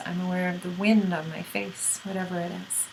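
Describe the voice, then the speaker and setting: A woman talks at medium pitch. Audible room echo and noticeable background noise surround her voice. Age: 40s. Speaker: spiritual teacher. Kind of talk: monologue to camera. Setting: speaking to a camera. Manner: animated.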